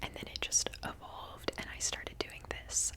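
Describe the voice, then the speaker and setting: Background noise is noticeable here. A woman whispers with an American accent. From US Pacific Northwest, Seattle. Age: 20s. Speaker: ASMR creator and genetic counseling student. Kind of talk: Q&A video, casual whispered chat. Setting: at home. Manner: whispering; casual with many fillers.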